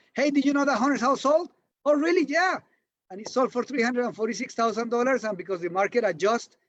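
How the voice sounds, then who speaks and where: In a Spanish accent, a man talks very fast at a high pitch, his tone animated and his intonation lively. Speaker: real estate broker and coach. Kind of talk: interview.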